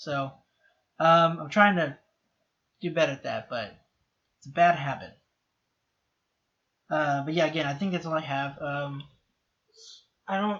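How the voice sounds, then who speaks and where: Big swings in loudness and a bright, sharp tone, with ordinary pitch variation and long, frequent pauses. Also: man, fairly high pitch for a man. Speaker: TV show reaction youtuber. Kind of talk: solo reaction and review commentary. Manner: fast, sometimes hard to understand; casual with many fillers and restarts.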